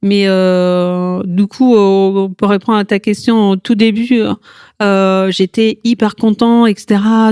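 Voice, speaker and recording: In an Italian accent, a woman speaks very slowly with a dark, mellow tone, a medium pitch and fairly even intonation, the sound dry and close with no echo. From Italy. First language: Italian (speaking French). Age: 40s. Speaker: yoga teacher, cancer survivor. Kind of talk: podcast interview testimony. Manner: hesitant, many fillers.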